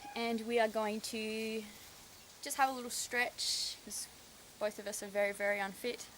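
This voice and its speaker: Speaking at a moderate pace, a woman with an Australian accent keeps her fairly high voice monotone and flat. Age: 20s. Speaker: horse owner and rider. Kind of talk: casual talk to camera. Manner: hesitant, a little awkward.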